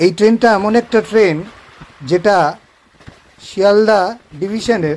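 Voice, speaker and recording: The pitch varies in an ordinary way over light background noise. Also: man. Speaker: train travel vlogger. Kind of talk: live travel commentary. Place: train. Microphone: phone near.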